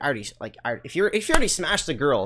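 A man talks very fast, with a quiet background behind him. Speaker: live streamer. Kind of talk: casual storytelling to stream chat. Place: home room. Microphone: studio mic.

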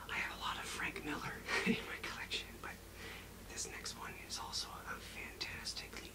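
A man talks at a moderate pace. Loud background noise runs underneath. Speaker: ASMR creator. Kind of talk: ASMR book review talk to camera. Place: home room.

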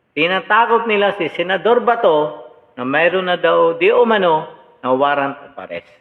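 A man's high-pitched voice at a moderate pace, lively intonation and big swings in loudness. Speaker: political commentator. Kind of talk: reaction commentary. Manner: animated.

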